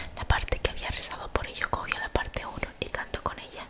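A woman whispers in a soft-spoken way. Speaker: content creator reading a book. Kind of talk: reading a novel aloud, soft ASMR-like. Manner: soft ASMR whisper reading aloud. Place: home room. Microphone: studio mic.

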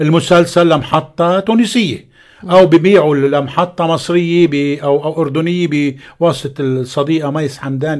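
Fairly high-pitched man at a fairly slow pace, fairly even intonation, over a quiet background. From Lebanon. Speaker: actor. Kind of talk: radio interview. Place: studio. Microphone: studio mic.

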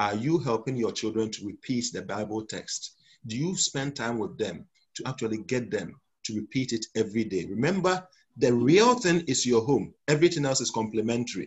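Somewhat breathy and with lively intonation, the speaker talks at a moderate pace in a Ghanaian accent. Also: man, medium pitch for a man. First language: Twi. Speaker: pastor. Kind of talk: sermon. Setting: church.

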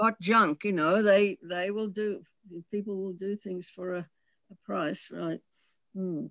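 Very slow pace in an Australian accent, with long, frequent pauses. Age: 70s. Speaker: audience member in film discussion. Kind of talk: casual group discussion. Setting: video call.

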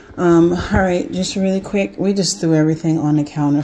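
A woman speaks in a fairly low voice over noticeable background noise. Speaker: vlogger. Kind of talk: casual vlog chat. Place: kitchen. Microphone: phone near.

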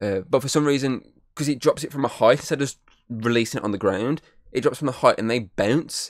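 Pitch variation is ordinary. The sound is dry with no echo, over a quiet background. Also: man. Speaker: podcast host. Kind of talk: casual game review chat. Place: home room. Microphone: studio mic.

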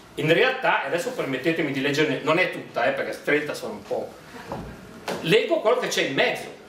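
A man speaking with long, frequent pauses, audible room echo, and light background noise. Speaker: dialect poet. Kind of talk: book presentation talk. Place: hall.

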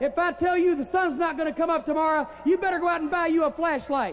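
There is noticeable background noise as a man speaks. His pitch is extremely high, with ordinary pitch variation. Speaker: wrestling manager. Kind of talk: wrestling promo. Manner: brash, mocking.

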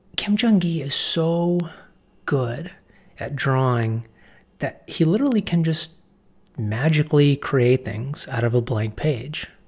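Soft-spoken and somewhat breathy, a man with a fairly high pitch talks fairly slowly with lively intonation and long, frequent pauses. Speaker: art teacher and writer. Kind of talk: casual talk to camera.

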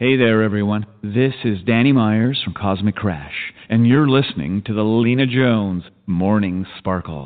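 A man's fairly low voice at a moderate pace with few pauses and ordinary pitch variation

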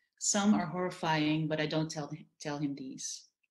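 A woman with a Dutch accent speaks at a fairly low pitch over a quiet background. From Netherlands. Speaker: novelist. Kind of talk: panel discussion. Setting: video call. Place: home room. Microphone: webcam.

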